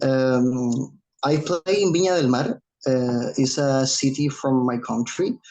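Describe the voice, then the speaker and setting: At a very slow pace, a man with a Chilean accent speaks at medium pitch, his loudness very even and his pitch variation ordinary. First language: Spanish. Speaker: drummer and dance accompanist. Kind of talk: self-introduction in meeting. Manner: halting, hesitant.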